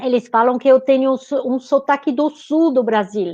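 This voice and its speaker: A woman with a high pitch and a slight French accent talks at a fairly slow pace. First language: French (speaking Portuguese). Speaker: nutritionist, author, researcher. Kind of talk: live webinar conversation. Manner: halting, repeats words.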